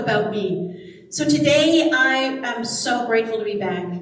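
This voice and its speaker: A woman with an American accent speaks in a fairly high pitch with lively intonation, with audible room echo and noticeable background noise. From US (local to Southern California). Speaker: minister and singer. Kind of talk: sermon. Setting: church service.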